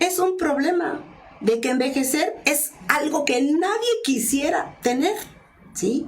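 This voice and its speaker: Amid noticeable background noise and audible room echo, a woman with a Mexican accent speaks very slowly with lively intonation. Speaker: journalist and communication expert. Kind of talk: interview.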